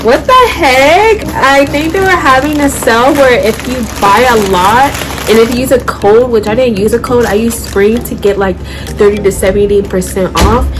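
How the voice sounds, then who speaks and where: A woman's animated, fairly high voice with lively intonation, amid noticeable background noise and audible room echo. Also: moderate pace. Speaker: fashion YouTuber. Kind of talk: try-on haul vlog. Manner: loud, near shouting.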